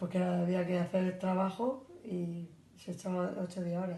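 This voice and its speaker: In a room with audible echo, a woman speaks fairly slowly at a fairly low pitch, somewhat breathy, with a dark, mellow tone. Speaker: grandparent interviewee. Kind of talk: interview.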